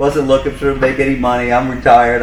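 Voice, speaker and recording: Someone with an American accent speaks at a fairly quick pace, with audible room echo and noticeable background noise. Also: man. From New York, Long Island. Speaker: boat service manager, retired firefighter. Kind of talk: casual chat.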